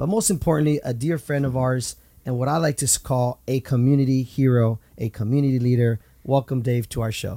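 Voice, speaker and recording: The dark, mellow tone comes out somewhat breathy, moving at a fairly quick pace with fairly even intonation. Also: man, medium pitch for a man. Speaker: radio host. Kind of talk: casual interview.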